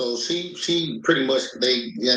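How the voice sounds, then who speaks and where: There is audible room echo around a man whose tone is bright and sharp. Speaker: reality TV cast member. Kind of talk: interview. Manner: halting; loud.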